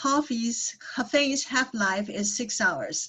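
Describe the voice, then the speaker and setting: A woman with a Taiwanese accent talks fairly slowly in a high voice. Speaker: psychologist. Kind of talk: workshop talk. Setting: video call.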